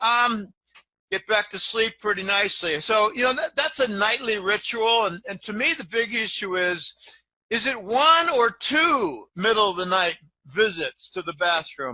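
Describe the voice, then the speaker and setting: A man with a high pitch and a bright, sharp tone speaks in a raised, projected voice at a fairly slow pace with lively intonation. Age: 60s. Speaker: financial analyst. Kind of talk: interview. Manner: halting.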